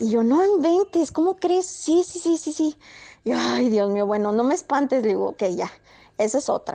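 The pace is moderate. The pitch swings are very wide. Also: woman, high pitch for a woman. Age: 30s. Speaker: storyteller sharing paranormal experiences. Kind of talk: personal storytelling. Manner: halting.

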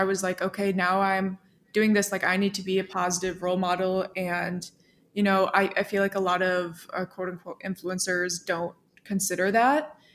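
A woman with an American accent speaks at a moderate pace in a medium pitch, her intonation monotone and flat, on a very clean recording with a silent background. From small town in the US. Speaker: software developer and content creator. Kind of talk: casual interview chat.

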